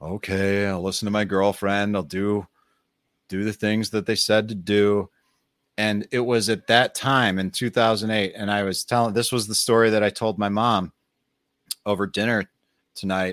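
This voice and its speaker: In a monotone, flat delivery, a man with an American accent talks at a moderate pace and a fairly low pitch, with a dry, close sound, no echo, and a very clean, silent background. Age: 40s. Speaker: podcast host. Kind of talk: solo podcast monologue. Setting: live stream. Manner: casual, unscripted.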